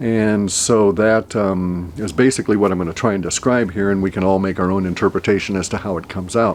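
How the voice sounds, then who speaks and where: A man with an American accent at a very fast pace, fairly low pitch, fairly even intonation, and hardly any pauses, over a quiet background. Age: 60s. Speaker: forecaster. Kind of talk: solo video monologue. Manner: halting, many fillers.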